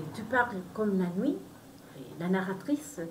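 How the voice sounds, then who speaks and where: Someone with a Spanish accent speaks with lively intonation amid noticeable background noise and audible room echo. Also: woman. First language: Spanish (speaking French). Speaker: novelist. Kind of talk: book presentation. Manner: halting.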